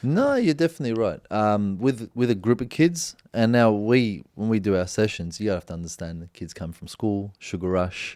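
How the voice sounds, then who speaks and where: In an Australian accent, a man speaks at a moderate pace with hardly any pauses, his fairly low voice showing lively intonation and big swings in loudness on a very clean recording with a silent background. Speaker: former professional footballer, youth coach. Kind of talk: casual chat.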